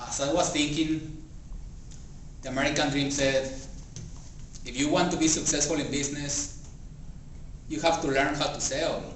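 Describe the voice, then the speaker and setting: A man with a Spanish accent speaks at a moderate pace and a fairly high pitch, his intonation monotone and flat, with long, frequent pauses. Noticeable background noise and audible room echo fill the recording. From Mexico. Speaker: public speaking club member. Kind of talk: speech.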